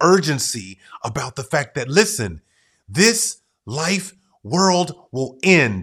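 An energetic man's voice with very wide pitch swings and vocal fry, on a very clean recording with a silent background. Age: 40s. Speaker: podcast host. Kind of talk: motivational solo podcast monologue.

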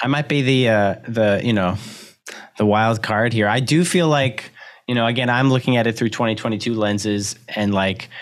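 A man with a normal speaking voice, fairly even intonation and a moderate pace. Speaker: podcast host, documentary filmmaker. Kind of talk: casual chat.

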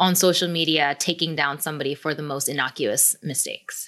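A woman's bright, sharp voice with a General American accent and ordinary pitch variation, on a very clean recording with a silent background. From South Korea, then San Diego. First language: Korean. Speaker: author and activist.

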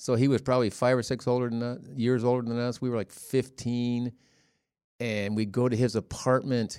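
With an American accent, a man of medium pitch speaks at a moderate pace in a monotone, flat intonation. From Ohio, US Midwest. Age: 60s. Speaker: father of the hosts. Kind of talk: casual chat.

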